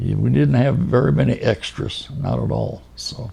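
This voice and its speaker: With a US Midwestern accent, a man speaks very slowly at a fairly low pitch, his voice swinging very widely up and down. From Kansas City, Kansas. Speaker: oral history interviewee. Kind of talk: oral history interview. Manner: halting.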